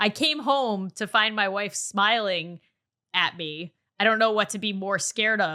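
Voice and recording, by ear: Reading aloud in a natural voice with ordinary pitch variation, the speaker is heard over a quiet background.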